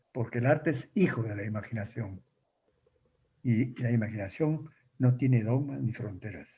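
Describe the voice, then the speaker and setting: A man talks at a moderate pace in a medium pitch, his dark, mellow tone somewhat breathy and his pitch varying in an ordinary way. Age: 80s+. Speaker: writer. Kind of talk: talk with audience questions.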